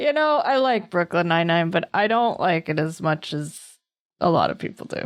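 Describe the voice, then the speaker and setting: An unremarkable speaking voice from a woman with an American accent, fairly low in pitch, lively in intonation, at a moderate pace. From US East Coast. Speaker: podcast co-host. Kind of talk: podcast episode intro; casual chat.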